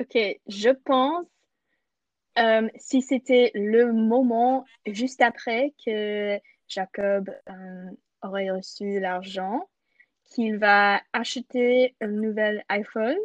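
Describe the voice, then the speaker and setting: Her speech comes at a very slow pace with long, frequent pauses, as a woman with a fairly high pitch and ordinary pitch variation is heard in a dry, close recording with no echo. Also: big swings in loudness. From Canada. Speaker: podcast co-host. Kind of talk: casual chat.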